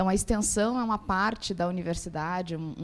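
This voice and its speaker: In a southern Brazilian accent, a woman speaks at a fairly quick pace and medium pitch with fairly even intonation. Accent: gaúcho (southern Brazilian). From Rio Grande do Sul, southern Brazil. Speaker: university professor. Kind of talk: panel talk at opening ceremony. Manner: halting, many fillers.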